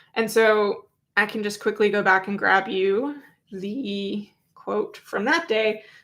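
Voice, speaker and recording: In a very clean recording with a silent background, a woman speaks at a fairly slow pace with fairly even intonation. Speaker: independent journalist covering a trial. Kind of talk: livestream recap commentary. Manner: casual, many fillers; slow while looking up references.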